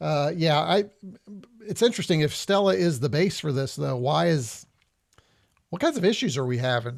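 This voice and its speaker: On a very clean recording with a silent background, a man with a fairly high pitch speaks at a moderate pace with lively intonation. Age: 60s. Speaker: retro gaming YouTuber. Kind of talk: live stream gameplay commentary. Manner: casual, hesitant with many fillers.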